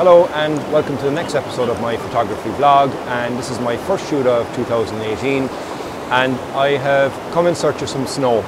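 Over loud background noise, a man speaks at a moderate pace with ordinary pitch variation, the sound dry and echo-free. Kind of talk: casual vlog chat. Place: waterside.

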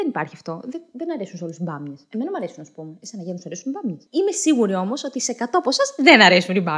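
A woman talks at a very fast pace with hardly any pauses and very wide pitch swings. The background is quiet. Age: 20s. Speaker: comedic political commentary host. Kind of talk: comedic monologue. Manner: animated. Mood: ironic, humorous. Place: home room. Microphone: studio mic.

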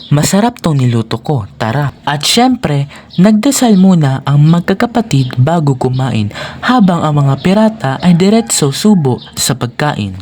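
A calm tone at a fairly slow pace, against noticeable background noise. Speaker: storyteller. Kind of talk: children's bedtime storytelling, scripted narration. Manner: calm, even, measured narration.

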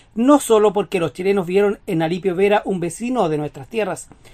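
A woman's medium-pitched voice has a dark, mellow tone and ordinary pitch variation. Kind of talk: TV news narration.

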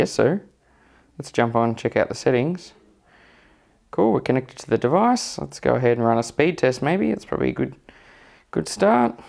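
A man with an Australian accent speaks at a moderate pace, his pitch swinging very widely. He takes long, frequent pauses against a quiet background. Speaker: tech youtuber; tech reviewer. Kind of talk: tutorial. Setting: at home, walking around the house. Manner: casual, hesitant with many fillers. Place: home room.

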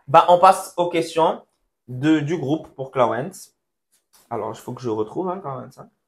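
This man has a fairly high pitch and lively intonation, speaking at a moderate pace with big swings in loudness and long, frequent pauses. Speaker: church youth podcast host. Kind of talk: casual chat. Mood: sincere, faith-centered. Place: studio. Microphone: lapel.

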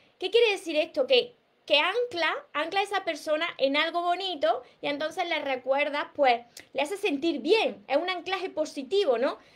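Her voice is extremely high in pitch. The woman speaks at a moderate pace with lively intonation. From Andalusia, Spain. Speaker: relationship coach. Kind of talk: live stream talk. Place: home room. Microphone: webcam.

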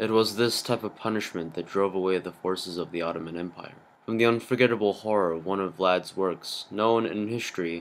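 This man has a normal speaking voice, fairly low in pitch, with fairly even intonation at a fairly quick pace. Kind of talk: movie trailer narration.

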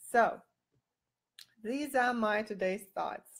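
A woman with a non-native accent, ordinary pitch variation, and a quiet background. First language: not English. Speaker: boudoir photographer. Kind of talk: live video talk to camera. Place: home room. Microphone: webcam.

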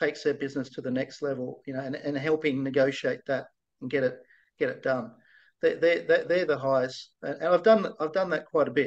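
A man with an Australian accent speaks at a fairly high pitch against a quiet background. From Australia, Blue Mountains near Sydney; New South Wales, Australia. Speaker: virtual CFO, finance consultant; guest. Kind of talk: interview, casual business chat. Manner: halting, many fillers and repetitions. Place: home room. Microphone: video call.

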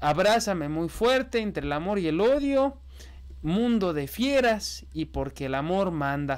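A man speaks in a high-pitched voice. The background is quiet. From Mexico. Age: 20s. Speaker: political news youtuber. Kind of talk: news commentary. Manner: casual, conversational.

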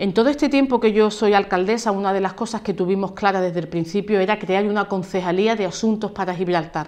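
A woman speaks at a very fast pace with hardly any pauses and fairly even intonation. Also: medium pitch for a woman. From La Línea de la Concepción, Andalusia, Spain; Andalusia, Spain. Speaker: mayor and politician; mayor, politician. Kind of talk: interview. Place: office.

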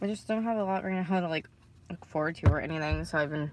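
Noticeable background noise sits under a voice with ordinary pitch variation and a dry sound with no echo. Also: woman. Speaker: vlogger. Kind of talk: casual vlog chat. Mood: low, sad, discouraged. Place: car. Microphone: phone near.

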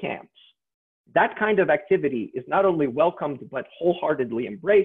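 A man with a high pitch at a moderate pace, against a quiet background. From Yugoslavia. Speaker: sociology lecturer. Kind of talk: lecture. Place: home room. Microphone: webcam.

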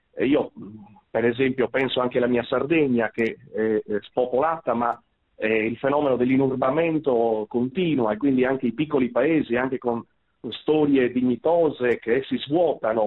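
At a moderate pace, a man with a normal speaking voice holds a medium pitch and fairly even intonation. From Sardinia. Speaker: priest and moral theology lecturer. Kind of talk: radio talk show interview.

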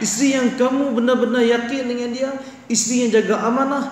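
The room echo is audible. A man speaks at an extremely high pitch. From Malaysia. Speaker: religious teacher. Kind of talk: religious lecture. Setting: mosque after dawn prayer. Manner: animated, repetitive. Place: hall. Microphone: headset.

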